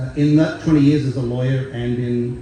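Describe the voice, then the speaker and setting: Amid audible room echo and noticeable background noise, a man with an Australian accent speaks at a moderate pace with fairly even intonation. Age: 60s. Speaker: singer-songwriter. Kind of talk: stage banter between songs. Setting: festival stage with audience. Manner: relaxed with many fillers.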